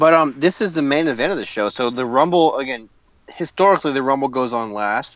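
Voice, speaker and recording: This man's voice sits at a medium pitch with ordinary variation. He speaks at a fairly quick pace. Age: 30s. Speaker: wrestling podcast co-host. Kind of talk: casual chat. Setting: in a car.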